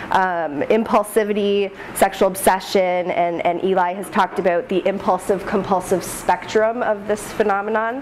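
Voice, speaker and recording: A woman talks at a moderate pace with hardly any pauses. Her medium-pitched voice keeps a fairly even intonation. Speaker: postdoctoral researcher presenting study. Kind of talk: research presentation. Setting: room with live audience, no mic. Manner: loud.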